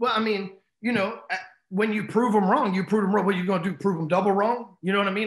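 High-pitched man with an American accent, a quiet background and audible room echo. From Texas, Dallas. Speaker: entrepreneur and sales coach; sales coach. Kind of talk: interview storytelling. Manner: casual, profane. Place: home room. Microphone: video call.

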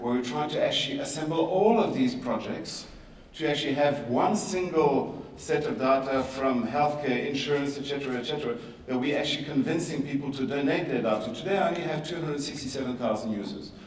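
Over audible room echo, a man talks at a fairly quick pace, with medium pitch and ordinary pitch variation.

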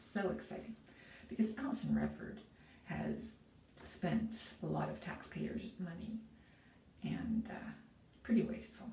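Amid light background noise and audible room echo, a woman speaks at a fairly slow pace. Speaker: vlogger. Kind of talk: casual vlog chat. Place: bathroom. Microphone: phone near.

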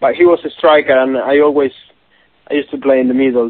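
A man talks at a very fast pace with a Spanish accent. His medium-pitched delivery is monotone and flat. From Argentina. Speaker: professional footballer. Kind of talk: interview. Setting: phone call. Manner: halting.

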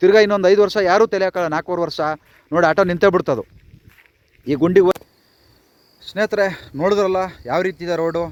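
Recorded dry and close with no echo, a man speaks at a high pitch with fairly even intonation. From Karnataka, Vijayanagara district village near Kotturu. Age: 40s. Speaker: village video blogger. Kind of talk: vlog complaint to officials. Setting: outdoors on village road. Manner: pleading.

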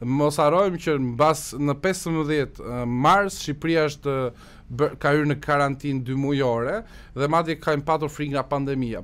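Fairly high for a man, the voice moves at a moderate pace with fairly even intonation. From Albania, Korçë; Albania. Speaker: Albanian emigrant commentator in US media. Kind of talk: radio interview. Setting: radio studio. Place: studio. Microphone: studio mic.

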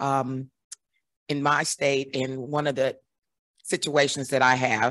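A woman's very deep, low-pitched voice at a very slow pace, dry and close with no echo, against a quiet background. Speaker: family advocate. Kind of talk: audience comment.

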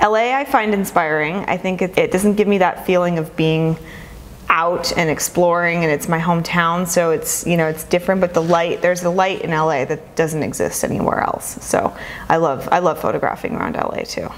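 Moderate pace and ordinary pitch variation from a woman with a fairly low voice, plus noticeable background noise. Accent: American. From Southern California, Los Angeles. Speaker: photographer. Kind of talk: interview.

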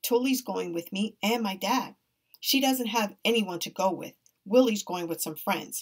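Someone reads aloud in a plain manner. Behind the voice, all is quiet.

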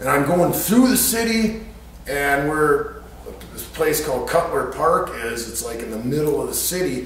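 In strong room echo, a man speaks at a moderate pace, fairly high in pitch and fairly bright in tone, with lively intonation.

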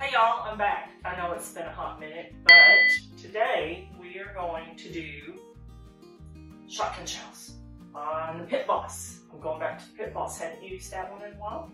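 Clear music plays in the background as a woman speaks at a moderate pace. Her loudness swings widely, with audible room echo. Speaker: channel host. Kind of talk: cooking tutorial. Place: home room.

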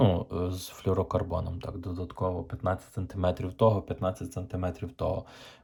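At a fairly slow pace, a man with a very deep, low pitch and a dark, mellow tone speaks in a monotone, flat intonation that is somewhat breathy. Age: 30s. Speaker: fishing vlogger. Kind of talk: tutorial. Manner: casual, halting.

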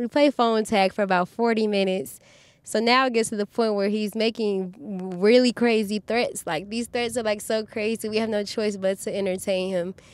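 This is a normal speaking voice, a woman's, fairly high in pitch and at a moderate pace. Her intonation is fairly even, and the sound is dry and close with no echo. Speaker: fast food worker. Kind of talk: casual chat.

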